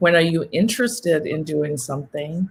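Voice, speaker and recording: A woman's voice sits fairly low and sounds somewhat breathy. She keeps a moderate pace. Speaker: yoga and wellness coach. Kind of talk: casual talk.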